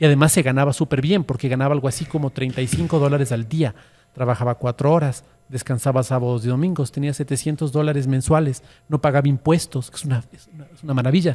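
A fairly high-pitched man speaks at a fairly quick pace, his dark, mellow tone somewhat breathy and his intonation fairly even. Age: 50s. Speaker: social media influencer. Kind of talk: casual chat. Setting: studio. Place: cafe. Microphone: studio mic.

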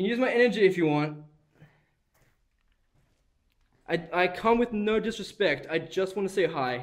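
Over a quiet background, a man speaks at a moderate pace in a high pitch with lively intonation. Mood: tense, bursts of excitement. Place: hall. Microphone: phone near.

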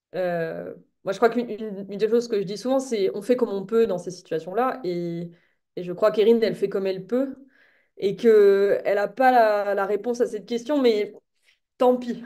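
Against a quiet background, a woman talks at a moderate pace with fairly even intonation. She leaves long, frequent pauses. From French Alps (France); France. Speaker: novelist; guest. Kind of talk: interview. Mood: thoughtful, calm. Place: home room. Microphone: webcam.

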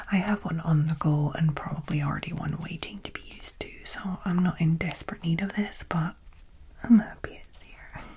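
Soft-spoken and fairly low-pitched, a woman talks at a moderate pace with ordinary pitch variation, with light background noise. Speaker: beauty box reviewer. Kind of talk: casual unboxing chat. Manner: soft-spoken, hushed ASMR delivery.

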